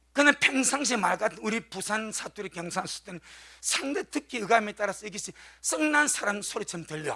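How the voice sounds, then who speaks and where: With a Busan accent, a man speaks in a raised, projected voice that is high pitched, bright and sharp, at a fairly quick pace with lively intonation. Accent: Gyeongsang (Busan) dialect. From South Korea, Gyeongsang region (Busan). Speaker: pastor. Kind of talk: sermon.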